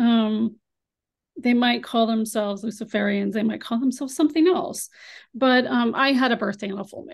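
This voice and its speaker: A woman with an unremarkable speaking voice talks at a moderate pace. Her pitch is fairly high and her loudness swings widely. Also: ordinary pitch variation. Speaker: abuse survivor sharing testimony. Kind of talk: testimony. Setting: video call, camera off.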